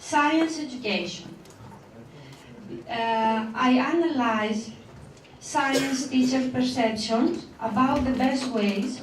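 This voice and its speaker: A woman's high voice with a non-native accent and ordinary pitch variation, over noticeable background noise and audible room echo. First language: not English. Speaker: teacher and PhD researcher. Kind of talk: conference presentation. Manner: slow, deliberate; halting, many fillers.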